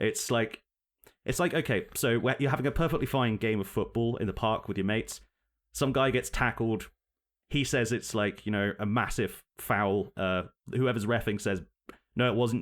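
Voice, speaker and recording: The recording is very clean with a silent background, and a man speaks at medium pitch. His loudness stays very even, broken by long, frequent pauses. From United Kingdom. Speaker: podcast co-host. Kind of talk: casual political chat. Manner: animated.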